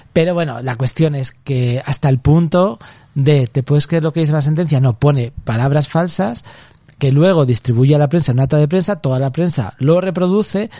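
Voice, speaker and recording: A man with a dark, mellow tone and a somewhat breathy voice speaks with lively intonation. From Spain, Zaragoza (Aragón). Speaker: artist and author. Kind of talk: casual interview.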